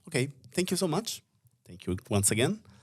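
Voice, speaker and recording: A man is speaking here. He talks with an Italian accent. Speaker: podcast host. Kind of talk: casual conversation. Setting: studio.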